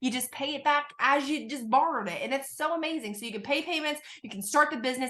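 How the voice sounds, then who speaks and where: In a raised, projected voice, a woman speaks at a very fast pace with a high pitch, an animated, bright, sharp tone and ordinary pitch variation. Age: 20s. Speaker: network marketing recruiter. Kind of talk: sales pitch. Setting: video call.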